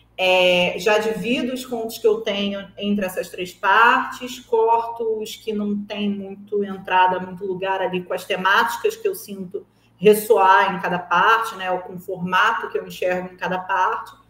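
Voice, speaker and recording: A woman talks fairly slowly with fairly even intonation, noticeable background noise behind her. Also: medium pitch for a woman, hardly any pauses. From Brazil, Rio de Janeiro. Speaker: writer and screenwriter. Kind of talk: interview. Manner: conversational, with frequent fillers.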